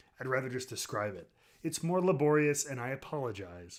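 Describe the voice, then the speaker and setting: A man speaks at a medium pitch with lively intonation. His pace is fairly quick. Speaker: streamer reviewing whiskey. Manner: casual, hesitant, lots of filler words.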